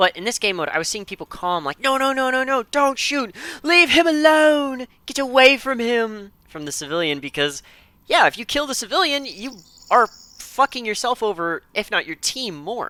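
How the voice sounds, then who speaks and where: A man with an extremely high, bright, sharp voice projects it loudly at a moderate pace, swinging very widely in pitch. The sound is dry and close with no echo, on a very clean recording with a silent background. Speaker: game map reviewer. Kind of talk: video commentary. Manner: animated.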